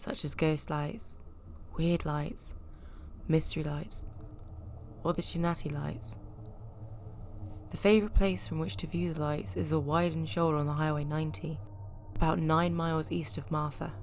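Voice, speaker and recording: With vocal fry and long, frequent pauses, a woman's very deep, low voice swings very widely in pitch. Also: moderate pace. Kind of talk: folklore narration.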